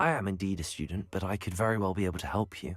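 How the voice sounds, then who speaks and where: A man puts on a robotic character voice, very deep and low, talking at a very fast pace over faint background music. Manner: formal, stiff.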